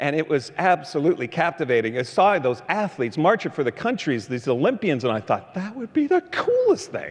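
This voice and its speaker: The speech runs on with hardly any pauses. Its pitch swings very widely. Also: man, high pitch for a man. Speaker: motivational keynote speaker. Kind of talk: motivational keynote storytelling. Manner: high-energy.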